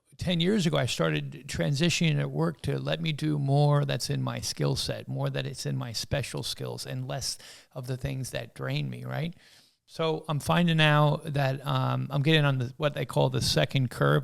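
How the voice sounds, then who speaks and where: An American accent from a man at a moderate pace, on a very clean recording with a silent background. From US Northeast. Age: 60s. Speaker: businessman. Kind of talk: casual chat.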